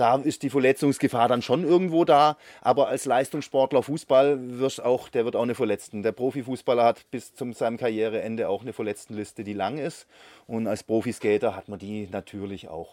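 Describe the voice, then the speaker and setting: A man speaks fairly quickly in an unremarkable speaking voice, medium in pitch with ordinary pitch variation. The recording is very clean with a silent background and a dry, close sound free of echo. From Konstanz, southwestern Germany. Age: 50s. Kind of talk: interview.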